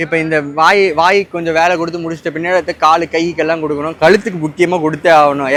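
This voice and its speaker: A man speaks in a high voice while noticeable background noise plays behind him. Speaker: content creator. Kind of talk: casual chat. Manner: talks nonstop.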